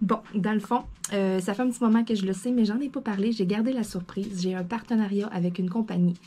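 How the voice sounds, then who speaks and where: This woman has a medium pitch and a dark, mellow tone. Her voice is somewhat breathy. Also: fairly quick pace. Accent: Quebec. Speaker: craft YouTuber. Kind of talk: casual vlog chat. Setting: at home desk. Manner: animated.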